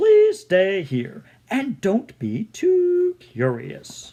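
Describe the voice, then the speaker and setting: This is a put-on character voice pitched fairly high. The delivery is very slow. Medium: read story.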